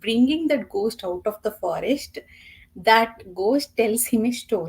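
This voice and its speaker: A woman with a Telugu accent and a fairly high pitch speaks at a very slow pace with lively intonation. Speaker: book reviewer. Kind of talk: casual chat.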